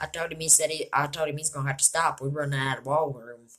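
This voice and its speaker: The voice has a bright, sharp tone and an Appalachian accent. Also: woman. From West Virginia mountains. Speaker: youtuber reading books aloud. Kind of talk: reading aloud. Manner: halting, self-correcting.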